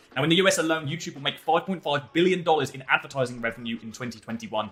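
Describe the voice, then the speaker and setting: A man talks at a very fast pace with a fairly high pitch and big swings in loudness. Noticeable background noise runs underneath. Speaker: online marketing coach. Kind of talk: tutorial.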